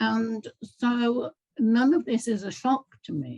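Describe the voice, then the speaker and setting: A somewhat breathy woman with lively intonation, in a dry, close recording with no echo. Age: 70s. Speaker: community gathering participant, holistic life coach. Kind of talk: casual chat.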